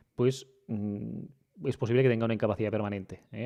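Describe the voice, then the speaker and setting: A man talks with a normal speaking voice at a medium pitch. His intonation is fairly even. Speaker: lawyer and podcast host. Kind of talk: podcast Q&A explanation. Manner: conversational with frequent fillers.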